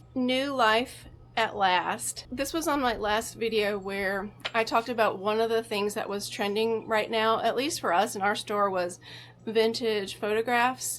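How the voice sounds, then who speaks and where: This is an unremarkable speaking voice from a woman with a fairly high pitch. She talks at a fairly slow pace with ordinary pitch variation. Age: 50s. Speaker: vintage reseller and antique booth owner. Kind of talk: casual vlog narration of a shopping haul.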